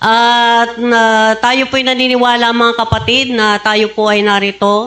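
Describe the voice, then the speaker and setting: A woman speaks with fairly even intonation. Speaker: preacher. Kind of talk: sermon.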